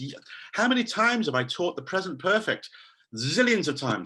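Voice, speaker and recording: The voice is raised and projected, bright and sharp in tone, with very wide pitch swings at a fairly quick pace. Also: man. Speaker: English teacher trainer. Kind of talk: online conference talk. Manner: animated.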